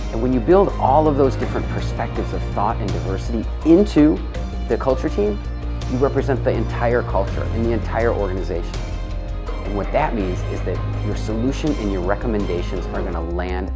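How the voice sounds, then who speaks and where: A man talking at a fairly quick pace over music in the background. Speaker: motivational speaker. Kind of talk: motivational talk to camera.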